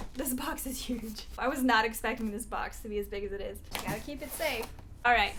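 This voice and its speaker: A woman with a fairly high voice talks at a fairly quick pace in an animated tone, her pitch varying in an ordinary way, with noticeable background noise and audible room echo. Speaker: singer-songwriter and ukulele YouTuber. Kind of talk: product unboxing and review.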